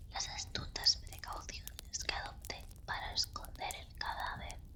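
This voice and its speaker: A woman's slow, theatrical whisper at a fairly slow pace, with noticeable background noise. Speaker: ASMR content creator. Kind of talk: ASMR horror story reading. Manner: whispered, expressive, theatrical; slow, calm.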